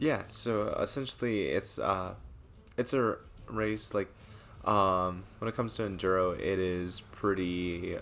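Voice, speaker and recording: The speaker talks quietly at a fairly slow pace. The loudness stays very even throughout. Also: man, fairly low pitch for a man, fairly even intonation. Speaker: gaming streamer. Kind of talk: casual chat. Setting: live stream.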